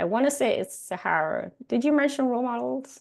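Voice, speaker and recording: Against a quiet background, a woman with a Caribbean accent speaks with vocal fry. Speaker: workshop facilitator. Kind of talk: workshop presentation.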